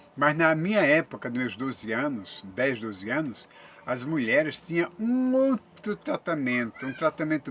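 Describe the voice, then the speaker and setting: A man speaks at a fairly slow pace in a fairly high pitch, with very wide pitch swings. There is noticeable background noise. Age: 70s. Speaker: YouTuber. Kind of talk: monologue to camera. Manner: halting.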